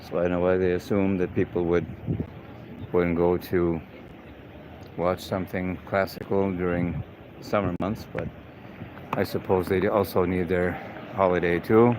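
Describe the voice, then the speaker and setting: Speaking at a moderate pace with long, frequent pauses, a man with a slight non-native accent uses a very deep, low pitch, a relaxed tone and monotone, flat intonation. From Canada, Saskatchewan. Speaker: live-stream host and tour guide. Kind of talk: live walking city tour. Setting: outdoors, walking the city streets. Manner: casual, relaxed.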